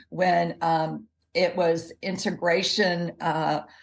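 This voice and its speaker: A woman with a Southern US accent speaks in a fairly low pitch. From US South, Jackson, Mississippi. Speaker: health expert and dietitian. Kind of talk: interview.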